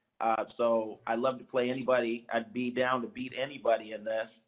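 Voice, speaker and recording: With an American accent, a man speaks at a medium pitch and a moderate pace. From San Diego, California. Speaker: commission member, activist. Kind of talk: self-introduction at public meeting.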